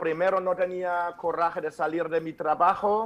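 Speaking with a German accent, a man holds fairly even intonation at a high pitch and a fairly slow pace. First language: German (speaking Spanish). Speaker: author and speaker. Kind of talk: interview. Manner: halting.

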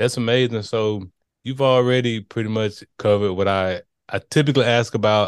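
A man talks at a fairly quick pace and medium pitch in a plain, everyday voice with fairly even intonation. The sound is dry and close with no echo, over a quiet background. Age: 30s. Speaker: podcast host. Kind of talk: casual interview.

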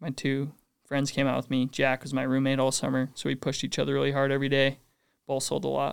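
Delivered at a very fast pace in a monotone, flat intonation, the voice comes through on a very clean recording with a silent background. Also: man, medium pitch for a man. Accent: Utah. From Utah, North Ogden. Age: 20s. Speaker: door-to-door sales rep. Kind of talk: podcast interview.

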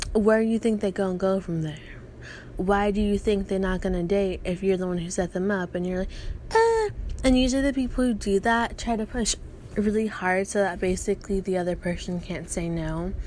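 The delivery is breathy and fairly quick. Intonation stays fairly even. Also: woman, medium pitch for a woman. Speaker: podcast host. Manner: casual, ranting, heavy profanity.

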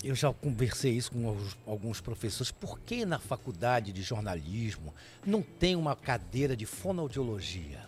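Somewhat breathy and medium-pitched, a man speaks at a moderate pace with very wide pitch swings. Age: 60s. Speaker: TV presenter and radio broadcaster. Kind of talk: casual chat.

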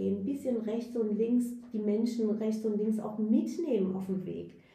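With audible room echo, a woman talks at a fairly slow pace and fairly high pitch, her intonation fairly even. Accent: Persian. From Iran (Tehran), raised in Germany from age 9. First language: Persian (speaking German). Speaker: youth centre director and activist. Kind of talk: interview. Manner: halting, many fillers.

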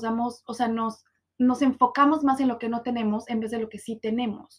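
This woman's voice sits high in pitch and moves at a moderate pace. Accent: Mexican. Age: 20s. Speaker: podcast host. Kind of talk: personal monologue podcast. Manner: casual, with many fillers.

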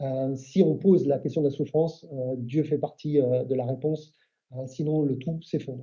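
At a fairly slow pace, a man talks with a somewhat breathy voice and fairly high pitch. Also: fairly even intonation. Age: 50s. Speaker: Baptist church leader. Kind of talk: casual chat.

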